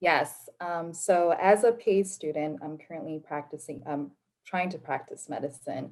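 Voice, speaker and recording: A woman with an American accent speaks in an unremarkable speaking voice at a moderate pace, her fairly low pitch showing ordinary variation while her loudness swings widely. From Nevada, US. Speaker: physician assistant student. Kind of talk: panel discussion.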